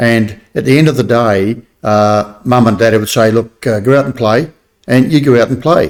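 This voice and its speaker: A moderate pace and ordinary pitch variation in an Australian accent. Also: man, medium pitch for a man. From New South Wales, Australia. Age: 70s. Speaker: army veteran. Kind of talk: casual interview. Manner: hesitant with many fillers.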